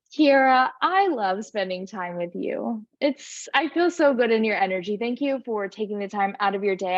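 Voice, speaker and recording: Her pitch is fairly high for a woman, with ordinary variation throughout. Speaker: yoga teacher and business coach. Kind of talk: casual interview chat.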